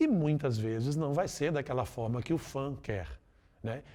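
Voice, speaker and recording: Lively intonation marks a man's fairly high voice as he speaks at a fairly slow pace in a very clean recording with a silent background. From Brazil, Minas Gerais (Belo Horizonte). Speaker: voice actor and musical theatre performer. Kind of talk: interview. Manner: casual, conversational.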